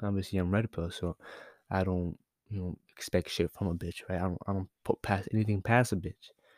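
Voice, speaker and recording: The voice is quiet and moves at a fairly quick pace. Its intonation is monotone and flat. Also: man, very deep, low pitch for a man. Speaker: podcast host. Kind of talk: casual monologue. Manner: halting, many fillers.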